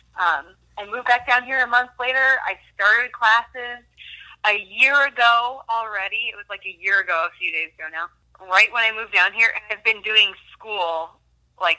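A woman talks at a moderate pace with a fairly high pitch. Her loudness swings widely. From Minnesota. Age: 20s. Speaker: student and former wilderness therapy counselor. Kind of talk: faith testimony in casual interview. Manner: hesitant with many fillers.

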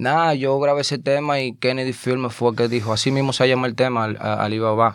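A man with a normal speaking voice talks fairly quickly at a medium pitch, keeping his intonation fairly even. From Dominican Republic (Azua, rural). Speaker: rapper. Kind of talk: casual interview chat; freestyle rap.

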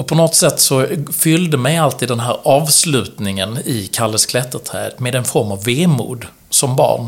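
Using an ordinary speaking voice, a man talks at a fairly slow pace and medium pitch with ordinary pitch variation. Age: 40s. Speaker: entrepreneur and author. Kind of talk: interview conversation.

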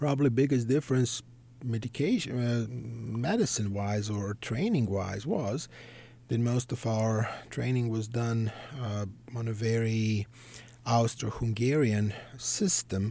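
The voice has a Serbian accent and a dark, mellow tone, moving at a fairly slow pace. Intonation is fairly even, and the recording is very clean with a silent background. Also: man, medium pitch for a man. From Serbia (Belgrade). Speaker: psychiatrist. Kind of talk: interview.

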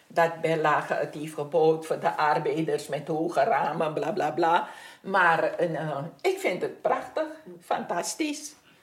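With noticeable background noise and audible room echo, a woman speaks at a very slow pace. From Suriname. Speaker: neighbourhood resident. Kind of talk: interview.

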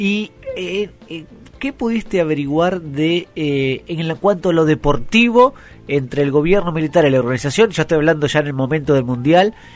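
This man talks at a moderate pace with lively intonation and a fairly high pitch. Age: 30s. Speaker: radio host. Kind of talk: interview. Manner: halting.

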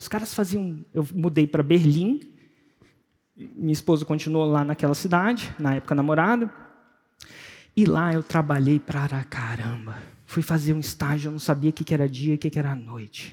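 A man's fairly high, somewhat breathy voice with an animated tone, ordinary pitch variation, a moderate pace and long, frequent pauses. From Brasília, Brazil. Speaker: entrepreneur and personal development coach. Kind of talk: motivational talk.

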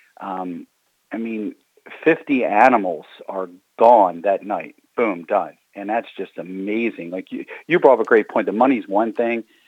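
With an American accent, a man talks at a fairly slow pace and medium pitch in an unremarkable speaking voice, with ordinary pitch variation and a dry, close sound with no echo. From Baltimore, Maryland. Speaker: arena general manager. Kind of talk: interview.

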